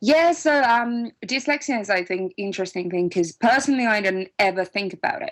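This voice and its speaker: The speaker has a Finnish accent. The pace is fairly quick. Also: woman, fairly high pitch for a woman, lively intonation. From Finland. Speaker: music producer and composer. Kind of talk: interview. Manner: halting, with fillers and restarts.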